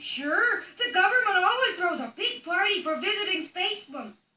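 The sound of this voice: In a cartoonish character voice, the speaker uses an extremely high pitch at a moderate pace.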